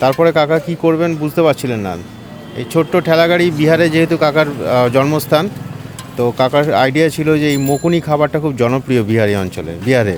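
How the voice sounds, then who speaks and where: Against noticeable background noise, a man speaks in a fairly high pitch. His pitch variation is ordinary. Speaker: street food vlogger. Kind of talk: food vlog narration. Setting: outdoors.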